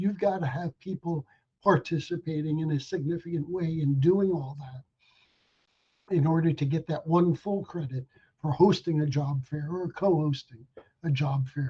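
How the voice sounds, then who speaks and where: In a dark, mellow tone with fairly even intonation, the voice has an American accent and a dry, close sound with no echo. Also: man, fairly high pitch for a man, moderate pace. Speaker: legal presenter on broadcast regulation. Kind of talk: webinar presentation. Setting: online webinar.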